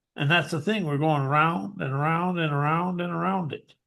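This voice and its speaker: A high-pitched man with an American accent and lively intonation, against a quiet background. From rural US West, cattle ranch. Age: 60s. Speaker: hypnotherapist and author. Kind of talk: interview.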